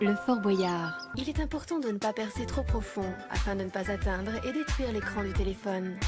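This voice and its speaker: Background music is playing. Over it, a woman talks at a moderate pace. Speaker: voice actor. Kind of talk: corporate and documentary narration.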